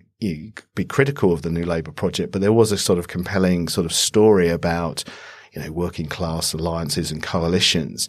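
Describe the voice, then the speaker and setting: With a British accent, a man speaks at a fairly quick pace on a very clean recording with a silent background. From UK. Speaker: politics lecturer. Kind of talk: panel discussion. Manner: hesitant with fillers.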